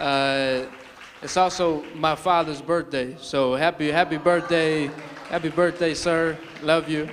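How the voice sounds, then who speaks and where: Fairly high-pitched male voice, flat and monotone, over crowd noise in the background. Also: fairly slow pace. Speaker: spoken word poet. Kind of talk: casual talk to live audience.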